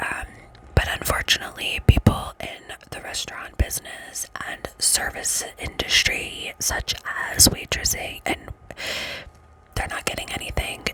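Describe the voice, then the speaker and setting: A woman whispers at a fairly slow pace, with long, frequent pauses and big swings in loudness. Noticeable background noise runs underneath. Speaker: ASMR creator. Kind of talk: ASMR whispered ramble. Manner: whispered, soft-spoken.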